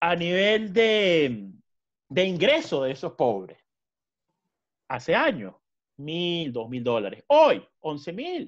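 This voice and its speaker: With a Venezuelan accent, a man speaks at a very slow pace and a high pitch, with very wide pitch swings and long, frequent pauses against a quiet background. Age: 20s. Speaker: lawyer and law lecturer; lawyer, law lecturer. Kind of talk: interview conversation. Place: home room. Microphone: webcam.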